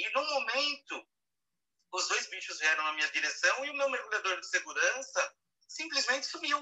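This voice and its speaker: In a São Paulo accent, a man talks at a moderate pace. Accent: Brazilian Portuguese, São Paulo (paulistano). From Brazil, São Paulo city. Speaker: wildlife and underwater photographer. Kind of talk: casual live interview. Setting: live audio room (Clubhouse), remote.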